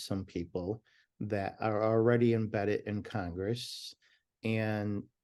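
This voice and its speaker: Over a quiet background, a man speaks at a fairly slow pace in a medium pitch, with a dark, mellow tone and fairly even intonation. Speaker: talent agent and prison reform advocate. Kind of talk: interview.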